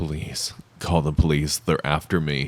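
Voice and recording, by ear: In a raspy put-on character voice, a man speaks at a fairly slow pace with very deep, low pitch and monotone, flat intonation.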